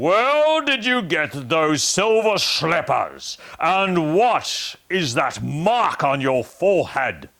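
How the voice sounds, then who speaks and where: A man's put-on character voice, high in pitch and very slow, in a very clean recording with a silent background. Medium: read story. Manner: imposing, commanding.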